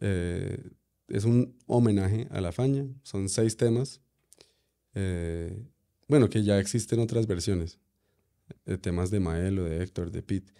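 Long, frequent pauses break up the speech of a man whose fairly low voice has a dark, mellow tone. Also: ordinary pitch variation, fairly slow pace, quiet background. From USA (New York). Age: 30s. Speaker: musician; guest. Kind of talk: casual interview. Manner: halting, many fillers. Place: studio. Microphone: studio mic.

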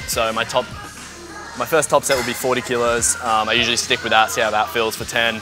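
A man's monotone, flat delivery at a fairly quick pace, with clear music in the background. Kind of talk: casual vlog chat. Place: gym. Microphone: lapel.

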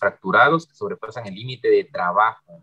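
At a fairly quick pace, a man talks with ordinary pitch variation against a quiet background. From Oaxaca, Mexico. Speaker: online session co-host. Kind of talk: moderating online session. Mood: polite, grateful. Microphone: video call.

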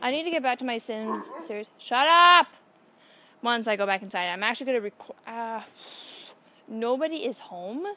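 A woman with a bright, sharp tone and lively intonation speaks at a moderate pace with long, frequent pauses, the sound dry with no echo and light background noise. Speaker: vlogger. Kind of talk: casual vlog chat. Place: garden. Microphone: phone near.

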